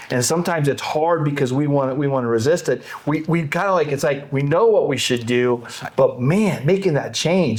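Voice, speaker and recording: Over noticeable background noise, a man talks at a moderate pace with a fairly high pitch and ordinary pitch variation. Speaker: podcast host, real estate auction firm owner. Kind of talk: podcast interview host, conversational.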